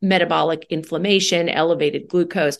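Her pitch is fairly low, with ordinary variation. The woman has an unremarkable speaking voice and an American accent. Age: 40s. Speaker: gynecologist. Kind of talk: interview.

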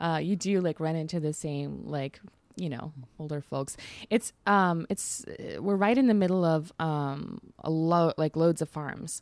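In a very clean recording with a silent background, a woman with an American accent speaks fairly slowly and fairly low in pitch, in a plain, everyday voice. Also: ordinary pitch variation. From Texas. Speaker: journalist and author. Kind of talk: casual chat. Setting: in person at a drinks conference.

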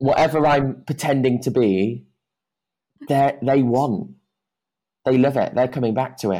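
Speaking with a British accent, a man of medium pitch uses a dark, mellow tone and fairly even intonation. His pace is fairly slow, with long, frequent pauses. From UK. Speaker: dance teacher. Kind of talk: podcast interview.

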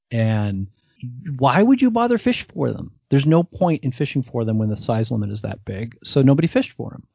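A somewhat breathy man with an American accent. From US Northeast, New Jersey. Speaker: podcast host, hunter and cook. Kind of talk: casual interview chat.

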